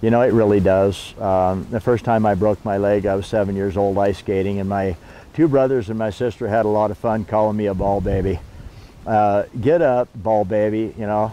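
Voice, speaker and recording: With a dark, mellow tone and a fairly low pitch, a man speaks at a moderate pace and with fairly even intonation in a dry sound with no echo. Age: 60s. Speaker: outdoor gear seller. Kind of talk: casual promotional talk. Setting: outdoors. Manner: halting, many fillers. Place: forest.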